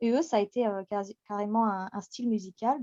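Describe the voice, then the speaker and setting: A woman with a fairly high pitch and a dark, mellow tone speaks at a moderate pace with fairly even intonation. The sound is dry and close with no echo, over a quiet background. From France, Picardy and Paris. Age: 30s. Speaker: radio host and community admin. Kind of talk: interview. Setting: podcast recording.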